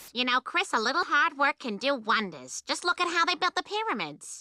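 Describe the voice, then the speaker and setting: A cartoonish character voice, female-sounding and high-pitched, at a fairly quick pace. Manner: calm, motherly.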